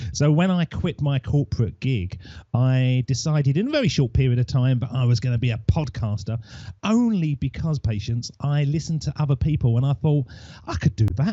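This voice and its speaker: This man's somewhat breathy voice sits at a medium pitch, moving at a fairly quick pace with lively intonation. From Essex, England. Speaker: podcaster. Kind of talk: interview.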